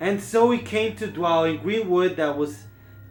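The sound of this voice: An unforced reading voice comes through in this clip.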